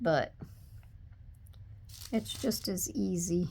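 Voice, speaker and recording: Soft-spoken, the woman talks at a very slow pace. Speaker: papercraft tutorial creator. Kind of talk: tutorial. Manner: casual.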